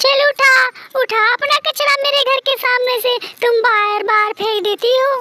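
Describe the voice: A cartoonish character voice, bright and sharp, with little pitch movement, a fairly slow pace and a dry, close sound with no echo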